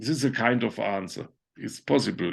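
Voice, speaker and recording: Vocal fry marks a man's medium-pitched voice over a quiet background. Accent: German. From Germany. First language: German. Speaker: conceptual artist. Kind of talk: online talk Q&A. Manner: halting.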